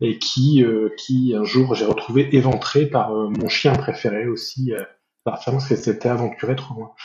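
A man's somewhat breathy, medium-pitched voice at a fairly slow pace, with fairly even intonation. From northern France (Nord). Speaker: veterinarian, association president. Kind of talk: interview. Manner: halting, many hesitations and repetitions.

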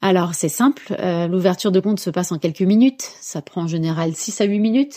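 Lively intonation carries a woman's dark, mellow tone at a moderate pace on a very clean recording with a silent background. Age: 40s. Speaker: bank co-founder and executive. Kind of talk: interview. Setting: in person at her company's offices.

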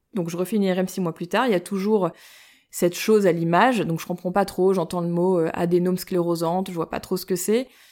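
In a very clean recording with a silent background, a woman speaks fairly quickly at a medium pitch, her tone dark and mellow. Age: 30s. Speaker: breast cancer gene carrier sharing her story. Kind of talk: personal testimony interview. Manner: hesitant, many fillers.

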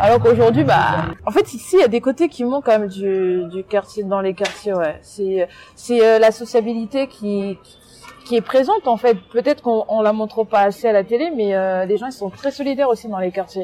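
A woman speaks with a fairly high pitch and ordinary pitch variation at a moderate pace, with noticeable background noise behind her. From France, Seine-et-Marne (left DR Congo at 7). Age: 20s. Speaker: youth education mentor. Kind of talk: interview testimony. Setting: outdoors.

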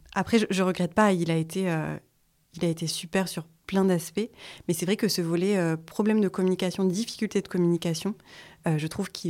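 An ordinary speaking voice moves at a fairly quick pace with fairly even intonation, captured on a very clean recording with a silent background. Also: woman. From France, Vosges. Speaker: sustainable interior design school founder. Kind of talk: casual interview.

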